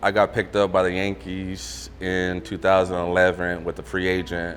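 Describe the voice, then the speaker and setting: Over noticeable background noise, a man with a very deep, low voice speaks with an American accent. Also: ordinary pitch variation, moderate pace. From San Diego, California, US. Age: 30s. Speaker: professional baseball pitcher. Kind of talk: interview testimony. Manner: halting, many repetitions and fillers.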